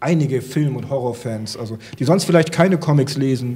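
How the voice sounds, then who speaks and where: A man talks at a fairly quick pace in a plain, everyday voice. His pitch sits in the medium range and moves with ordinary variation. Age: 50s. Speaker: comic expert and comic shop owner; comic expert, comic shop owner. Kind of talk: casual chat. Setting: studio with audience. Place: studio. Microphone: handheld.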